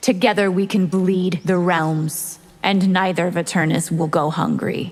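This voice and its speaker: In a put-on character voice, a female-sounding voice speaks at a medium pitch for a woman. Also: moderate pace. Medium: video game. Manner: cold, haughty.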